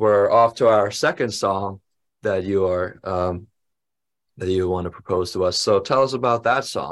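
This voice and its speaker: On a very clean recording with a silent background, a man with an unremarkable speaking voice talks at a fairly low pitch and a moderate pace. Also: ordinary pitch variation. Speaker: interviewer and drum instructor. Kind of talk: casual interview.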